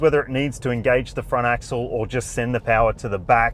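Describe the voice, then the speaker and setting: A man talks with an Australian accent. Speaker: car reviewer. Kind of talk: review talk while driving. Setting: in a car, driving.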